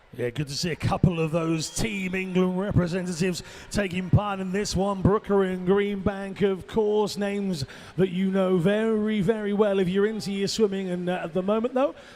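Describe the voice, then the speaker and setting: Speech unfolds at an even, middling speed. Audible noise sits behind it. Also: man, high pitch for a man. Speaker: swimming commentator. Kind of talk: live commentary. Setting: aquatic centre with crowd. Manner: animated.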